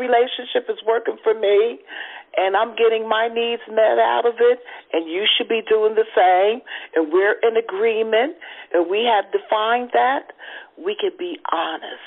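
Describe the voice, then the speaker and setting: This woman has a normal speaking voice, fairly high in pitch. She speaks at a fairly slow pace with lively intonation. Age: adult. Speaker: guest panelist. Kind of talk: casual chat.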